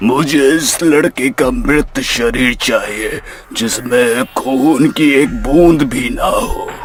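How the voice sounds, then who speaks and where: A cartoonish character voice from a man, fairly high-pitched and very slow, over clear background noise. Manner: grave, measured.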